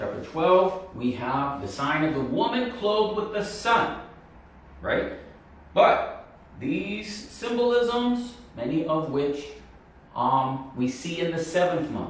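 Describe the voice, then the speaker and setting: A man's high voice with very wide pitch swings, a very slow pace, long and frequent pauses, audible room echo and noticeable background noise. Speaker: Bible prophecy video teacher. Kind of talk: Bible teaching monologue.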